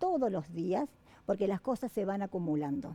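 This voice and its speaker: The woman's dark, mellow voice moves through very wide pitch swings. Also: dry, close sound with no echo. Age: 60s. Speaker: university dean. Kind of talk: interview. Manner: halting.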